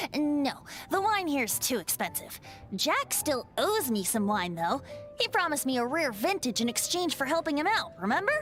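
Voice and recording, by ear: Putting on a character voice, a woman speaks at a high pitch with big pitch swings and a fairly bright tone, moving at a fairly slow pace with few pauses while faint music plays in the background.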